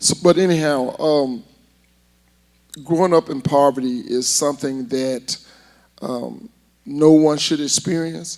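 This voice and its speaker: Speech comes at a fairly slow pace in an Alabama accent, with ordinary pitch variation. Long pauses occur often. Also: man, fairly high pitch for a man. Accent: Southern US (Alabama). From US South, Huntsville, Alabama. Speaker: inner-city learning center director. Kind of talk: interview. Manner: loud.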